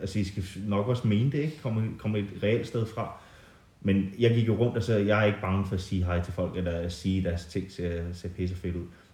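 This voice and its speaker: In audible room echo, a man speaks at a fairly low pitch with a dark, mellow, somewhat breathy tone and ordinary pitch variation. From England, moved to Denmark at 11. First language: English (speaking Danish). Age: 30s. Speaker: artist. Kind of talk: casual interview. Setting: at the guest's home in the countryside.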